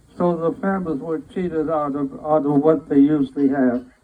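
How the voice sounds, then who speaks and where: Pitched fairly high, a man talks while noticeable background noise fills the clip. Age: 80s+. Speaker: Navy veteran and band conductor. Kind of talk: testimony. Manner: halting, many repetitions.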